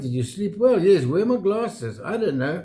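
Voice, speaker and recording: A man with a high voice and lively intonation at a fairly quick pace, over noticeable background noise. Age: 70s. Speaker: retired vlogger. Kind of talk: casual chat.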